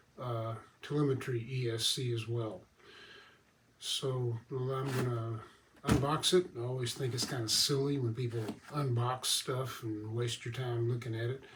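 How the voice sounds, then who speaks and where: A man speaks at a moderate pace and medium pitch, relaxed and fairly even in intonation, with noticeable background noise behind him. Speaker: RC model airplane hobbyist reviewer. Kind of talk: product assembly tutorial. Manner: casual, relaxed.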